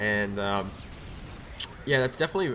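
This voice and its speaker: Over noticeable background noise, a man rattles through his words at a very fast pace. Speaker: gaming YouTuber. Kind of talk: gameplay commentary. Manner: casual, halting with fillers.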